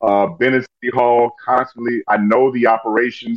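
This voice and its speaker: With an American accent, a man speaks in a normal speaking voice at a medium pitch, his intonation fairly even. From Chicago, US Midwest. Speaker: former city alderman and lawyer. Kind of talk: casual interview.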